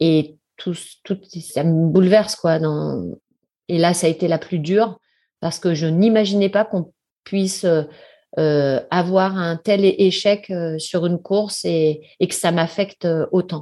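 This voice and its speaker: A woman with a fairly low pitch and a dark, mellow tone talks at a very slow pace with long, frequent pauses and fairly even intonation against a quiet background. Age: 50s. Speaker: ultramarathon runner and sports business executive. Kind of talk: interview. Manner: hesitant, many fillers.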